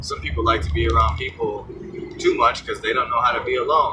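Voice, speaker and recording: A man's moderately paced speech is heard with noticeable noise in the background. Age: 30s. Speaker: vlogger. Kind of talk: personal monologue vlog. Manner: casual, halting with fillers.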